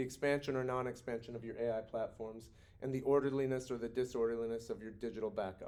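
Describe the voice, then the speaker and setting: A man's medium-pitched voice at a fairly quick pace, with fairly even intonation and audible room echo. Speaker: university professor. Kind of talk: recorded lecture. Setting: recorded video for students. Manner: fast.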